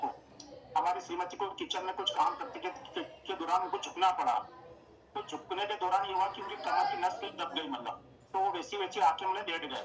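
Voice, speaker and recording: A man with a high-pitched voice speaks at a moderate pace, his pitch varying in an ordinary way. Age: 60s. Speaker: product user giving a health testimonial. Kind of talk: testimony. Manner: halting, many fillers.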